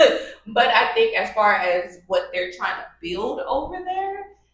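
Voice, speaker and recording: A woman with an American accent speaks in an animated tone at a moderate pace. Room echo is audible. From Los Angeles, US. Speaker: YouTuber, co-host of couple channel. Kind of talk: casual conversational storytime. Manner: animated, hesitant fillers.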